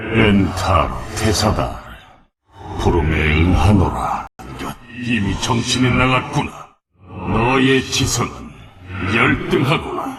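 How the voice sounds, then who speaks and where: A man's put-on character voice at medium pitch, fairly slow, broken by long, frequent pauses. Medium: fan dub. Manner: formal, archaic.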